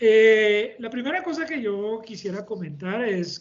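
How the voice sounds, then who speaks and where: Here a man talks at a fairly slow pace in a high voice. He speaks with a French accent. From France. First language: French (speaking Spanish). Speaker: engineering company director, panelist. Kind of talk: webinar panel discussion. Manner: halting.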